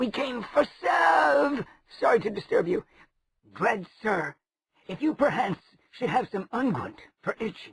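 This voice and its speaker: In a put-on character voice, a man speaks high and croaky at a fairly slow pace, with very wide pitch swings and long, frequent pauses, in a dry, close sound with no echo. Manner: polite, pleading.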